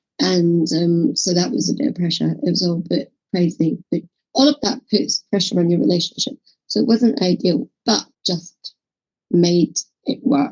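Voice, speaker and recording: Heard in a dry, close sound with no echo and music in the background, a woman speaks at a fairly low pitch with very wide pitch swings. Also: moderate pace. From Scotland. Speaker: holistic therapist and podcast co-host. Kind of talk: casual chat.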